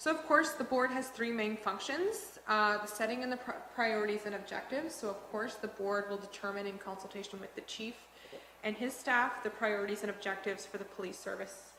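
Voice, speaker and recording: Over noticeable background noise and audible room echo, a woman talks at a fairly quick pace with a fairly high pitch and ordinary pitch variation. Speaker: police board trainer. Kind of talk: training presentation. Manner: fast.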